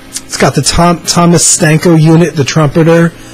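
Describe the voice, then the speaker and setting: Faint music plays in the background. Over it, a man speaks. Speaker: music fan vlogger. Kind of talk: casual vlog chat. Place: home room. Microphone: webcam.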